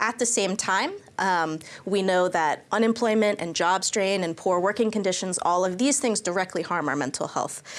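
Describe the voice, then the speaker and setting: At a moderate pace and with ordinary pitch variation, the speaker has a plain, everyday voice with an American accent. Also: woman, medium pitch for a woman. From United States. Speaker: policy researcher. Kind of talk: panel discussion.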